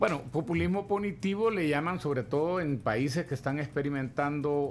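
At a moderate pace, a man with a fairly high pitch and ordinary pitch variation speaks in a plain, everyday voice. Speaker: economist. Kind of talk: interview. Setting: studio.

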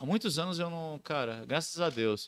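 In a very clean recording with a silent background, a man speaks at a high pitch with a bright, sharp tone. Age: 20s. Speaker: clown and surfer. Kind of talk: casual chat.

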